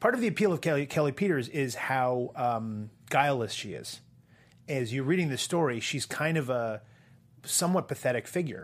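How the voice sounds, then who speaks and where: Recorded very cleanly against a silent background, a man with an unremarkable speaking voice and an American accent speaks at a moderate pace and medium pitch with lively intonation. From US Northeast (Portland, Maine). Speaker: entertainment columnist. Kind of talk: casual chat.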